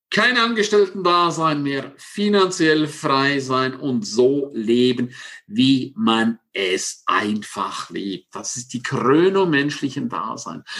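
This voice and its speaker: The tone is bright and sharp. Pitch swings very widely throughout. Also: man. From Switzerland, Engadin (St. Moritz). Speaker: success coach. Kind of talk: interview. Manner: animated.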